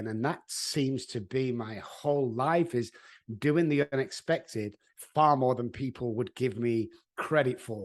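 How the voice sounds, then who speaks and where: Speaking with a Mancunian accent, a man talks fairly slowly in a medium pitch with ordinary variation, over a quiet background. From Manchester, England. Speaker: addiction therapist. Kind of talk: interview answer.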